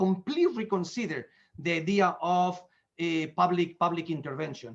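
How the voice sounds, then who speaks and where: A man with a high pitch talks at a fairly quick pace, using ordinary pitch variation. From Spain. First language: Spanish. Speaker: economist. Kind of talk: lecture. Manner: fast; halting.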